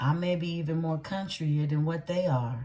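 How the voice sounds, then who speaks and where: A woman speaks at a fairly slow pace in a very deep, low voice, dark and mellow in tone and somewhat breathy, with lively intonation. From Louisiana. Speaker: tarot reader. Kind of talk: casual chat. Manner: conversational, many fillers.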